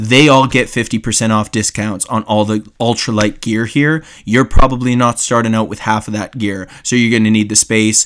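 Speaking with hardly any pauses at a moderate pace, a man uses a plain, everyday voice at medium pitch, with fairly even intonation. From Canada. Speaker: guest host, YouTube outdoors creator. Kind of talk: casual chat.

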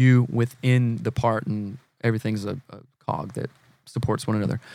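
A man with an American accent talks at a moderate pace and medium pitch, his intonation fairly even. The sound is dry and close, with no echo. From South Carolina, US South. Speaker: marriage and family therapist, former drummer. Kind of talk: casual interview chat.

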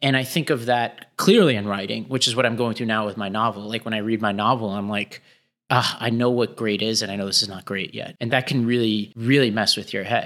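With an American accent, a man uses an unremarkable speaking voice at a fairly quick pace on a very clean recording with a silent background. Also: medium pitch for a man. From New York City, Staten Island. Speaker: education nonprofit executive and podcast co-host. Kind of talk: casual interview conversation. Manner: casual, filler-heavy.

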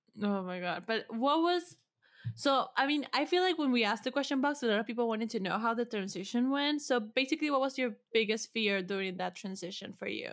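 On a very clean recording with a silent background, a woman with a plain, everyday voice talks at a fairly quick pace and a fairly high pitch with lively intonation. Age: 20s. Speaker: podcast producer. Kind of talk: casual chat.

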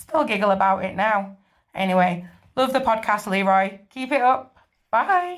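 With a northern English accent, a woman talks fairly slowly at a medium pitch, her intonation lively. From northern England. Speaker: listener sending in a story. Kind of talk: recorded voice message telling a story.

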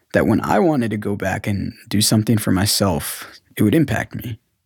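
Speaking at a moderate pace with a General American accent and an ordinary speaking voice, a man keeps a fairly low pitch with ordinary variation, and the recording is very clean over a silent background. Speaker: adoptee telling his story. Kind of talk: scripted narration.

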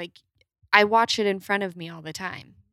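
A woman with a Utah accent at a moderate pace and fairly even intonation, in a dry, close sound with no echo on a very clean recording with a silent background. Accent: Utah twang, noticeable. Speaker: guest. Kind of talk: casual chat.

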